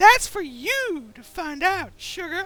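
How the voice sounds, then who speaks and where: Music plays in the background. A put-on character voice speaks at a fairly slow pace. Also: female-sounding voice. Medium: machinima. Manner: teasing, sultry.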